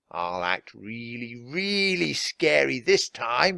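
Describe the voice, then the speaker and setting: In a put-on character voice, a man speaks at a very slow pace and medium pitch with very wide pitch swings, on a very clean recording with a silent background. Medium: read story.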